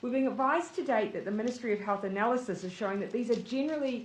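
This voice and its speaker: A woman with a New Zealand accent, fairly high in pitch, with ordinary pitch variation. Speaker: prime minister. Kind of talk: government press briefing.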